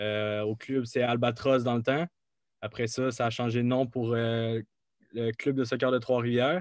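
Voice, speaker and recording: The speaker has a plain, everyday voice. The pace is fairly slow and the intonation fairly even. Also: man, medium pitch for a man. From Quebec, Mauricie. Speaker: college soccer player. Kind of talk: interview.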